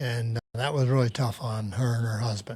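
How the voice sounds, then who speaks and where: In a very clean recording with a silent background, a man with an American accent speaks at a fairly slow pace in a somewhat breathy voice. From US Northeast. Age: 80s+. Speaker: retiree. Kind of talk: interview. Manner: halting.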